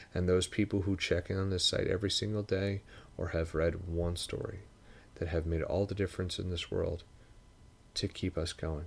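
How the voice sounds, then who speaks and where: With a very deep, low pitch, a man speaks at a moderate pace in a somewhat breathy, monotone, flat voice. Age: 30s. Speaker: podcast host. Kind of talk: solo reflective monologue. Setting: home desk.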